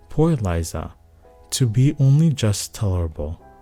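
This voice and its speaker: A man with lively intonation at a fairly slow pace, music in the background. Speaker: bedtime story narrator. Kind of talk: sleep story reading of a classic novel.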